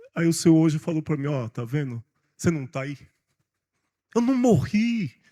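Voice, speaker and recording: A man's somewhat breathy voice carries a dark, mellow tone in a dry, close recording with no echo. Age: 60s. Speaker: pastor. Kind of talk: sermon. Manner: animated.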